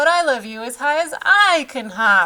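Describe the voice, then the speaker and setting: A woman uses a put-on character voice, raised and projected, at a high pitch. She speaks at a moderate pace. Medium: read story. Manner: warm, gentle.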